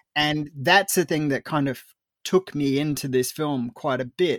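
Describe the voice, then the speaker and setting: In an Australian accent, a man with a fairly high pitch speaks at a moderate pace. The recording is very clean with a silent background and a dry, close sound with no echo. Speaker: film critic. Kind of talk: casual chat.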